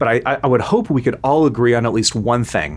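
A man talks at a fairly quick pace with an American accent. His voice has vocal fry and ordinary pitch variation. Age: 30s. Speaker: foreign policy analyst. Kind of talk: interview.

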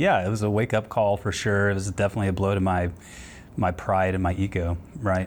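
With a plain, everyday voice, a man speaks at a fairly quick pace in a fairly low pitch, keeping fairly even intonation and very even loudness. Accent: American. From Texas, Houston. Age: 30s. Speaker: airline pilot in recovery. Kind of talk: personal testimony interview.

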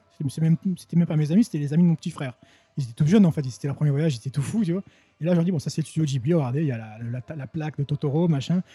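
A man's very fast speech, fairly high in pitch with ordinary pitch variation and a dark, mellow tone, in a dry, close sound with no echo. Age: 40s. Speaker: French teacher and translator. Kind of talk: casual interview. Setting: indoors, in person.

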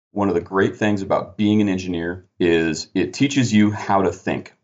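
A man speaks at a moderate pace in a fairly low voice with ordinary pitch variation, leaving hardly any pauses. He has an unremarkable speaking voice. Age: 30s. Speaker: construction project manager and former army engineer officer. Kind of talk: interview.

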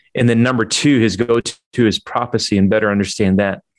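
Over a quiet background, a man with an ordinary speaking voice talks at a fairly quick pace in a fairly low pitch. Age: 40s. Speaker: church planting leader. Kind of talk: webinar interview.

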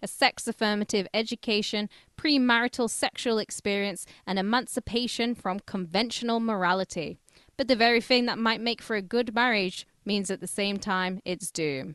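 Speaking at a moderate pace with lively intonation, the voice has a British accent, recorded dry and close with no echo against a quiet background. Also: woman. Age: 30s. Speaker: podcast co-host. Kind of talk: casual chat.

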